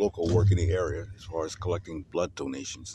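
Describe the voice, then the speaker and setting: The voice has a dark, mellow tone and is somewhat breathy. Intonation stays fairly even at a moderate pace. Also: man. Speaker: podcast host. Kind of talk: vlog narration. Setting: in a car.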